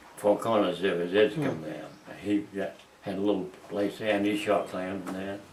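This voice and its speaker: Here a man talks at a moderate pace with a fairly low pitch. His intonation is fairly even. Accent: Maine. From Maine, USA. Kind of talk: oral history reminiscence.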